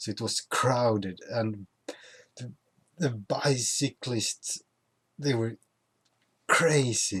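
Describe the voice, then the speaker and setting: A man with a Swedish accent speaks very slowly at a medium pitch, with ordinary pitch variation. He leaves long, frequent pauses, and the sound is dry and close with no echo. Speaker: YouTuber. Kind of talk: casual vlog. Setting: at home.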